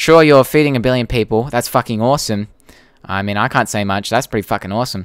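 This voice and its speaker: In an Australian accent, the speaker talks at a very fast pace with ordinary pitch variation. The recording is very clean, with a silent background. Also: man. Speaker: YouTuber and podcast host. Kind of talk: live stream Q&A. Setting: live stream. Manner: casual, hesitant with fillers.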